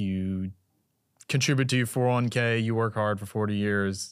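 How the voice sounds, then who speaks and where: Over a very clean recording with a silent background, a man with a plain, everyday voice and fairly low pitch speaks at a moderate pace with ordinary pitch variation. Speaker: podcast host. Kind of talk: casual interview.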